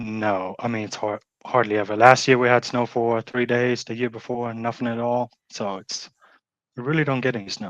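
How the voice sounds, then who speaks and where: A man with a German accent speaks at a moderate pace and medium pitch. His intonation is monotone and flat, and the background is quiet. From Germany. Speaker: pet waste removal business owner. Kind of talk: interview.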